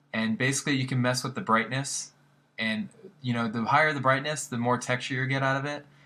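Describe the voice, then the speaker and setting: On a very clean recording with a silent background, a man talks very fast at a medium pitch, his tone bright and sharp and his pitch varying in an ordinary way. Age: 20s. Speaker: graphic design tutor. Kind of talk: tutorial. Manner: casual, filler-heavy.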